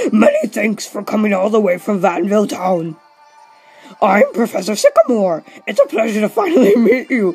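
Over faint music in the background, a put-on character voice with a fairly high pitch moves at a moderate pace. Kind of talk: warm, welcoming, formal.

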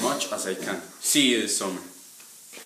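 A man with a Colombian accent at a fairly slow pace, with audible room echo and light background noise. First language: Spanish. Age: 20s. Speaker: job applicant. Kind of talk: application video talk to camera. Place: home room.

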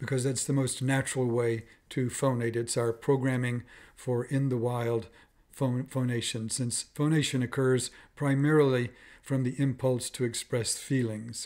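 Against a quiet background, a man speaks at a fairly slow pace in a monotone, flat intonation. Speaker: voice professor. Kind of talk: instructional explanation to camera. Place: home room. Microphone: webcam.

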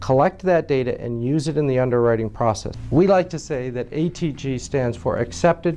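Hardly pausing at all, a man talks at a moderate pace. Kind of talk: interview answer. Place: office. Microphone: lapel.

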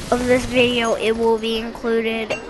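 Over music in the background, a woman speaks at a fairly high pitch. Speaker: gaming youtuber. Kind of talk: gameplay review commentary. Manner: halting, with fillers.

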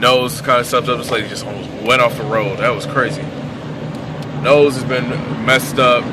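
A man at a moderate pace, dry sound with no echo, noticeable background noise. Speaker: vlogger. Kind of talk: casual vlog chat. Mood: relaxed, a bit under the weather. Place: car. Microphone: phone near.

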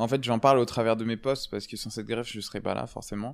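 With a silent background, the very clean recording captures a man talking. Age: 20s. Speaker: cancer survivor, former volunteer firefighter. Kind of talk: testimony. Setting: sitting in a rocking chair. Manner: hesitant, many filler words.

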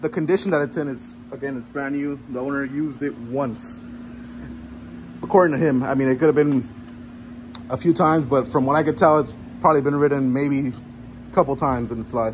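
Light background noise accompanies a man speaking at a fairly quick pace with ordinary pitch variation. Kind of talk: casual vlog tour. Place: garage. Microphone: phone near.

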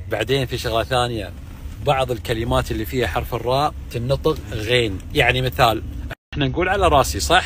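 Over light background noise, a man talks at a moderate pace in a dry sound with no echo. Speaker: sports TV presenter. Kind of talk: casual banter with locals. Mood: playful, laughing. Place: car. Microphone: phone near.

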